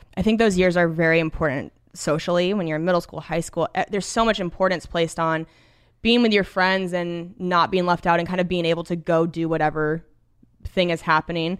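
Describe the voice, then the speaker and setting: A woman with an American accent uses an ordinary speaking voice, fairly low in pitch, with fairly even intonation and a fairly quick pace, in a very clean recording with a silent background. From US Pacific Northwest. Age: 30s. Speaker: stand-up comedian. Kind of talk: casual chat.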